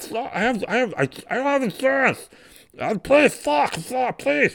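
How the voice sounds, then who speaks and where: This is a put-on character voice with a fairly high pitch. The pace is very slow. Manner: pleading, desperate.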